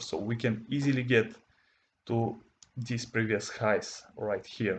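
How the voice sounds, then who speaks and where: The speaker has a non-native accent and a fairly slow pace. The intonation is monotone and flat. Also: man. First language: not English. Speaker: forex trading educator. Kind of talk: tutorial. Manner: halting.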